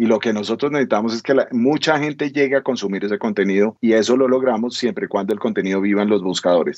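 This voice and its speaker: A man's very fast delivery with ordinary pitch variation, very even loudness and hardly any pauses. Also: medium pitch for a man. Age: 50s. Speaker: entrepreneur. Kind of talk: interview.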